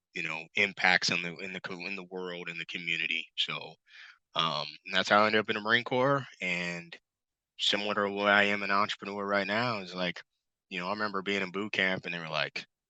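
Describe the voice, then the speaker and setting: A loud voice with a bright, sharp tone and an American accent moves at a fairly quick pace with fairly even intonation, sounding dry and close with no echo against a quiet background. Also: man, fairly low pitch for a man. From Missouri, US Midwest. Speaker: retired Marine officer, entrepreneur. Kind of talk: interview.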